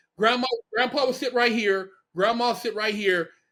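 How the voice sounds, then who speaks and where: With a raised, projected voice, a man talks at a fairly quick pace in a high pitch and a bright, sharp tone. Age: 50s. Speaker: podcast host, formerly incarcerated. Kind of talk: casual interview chat.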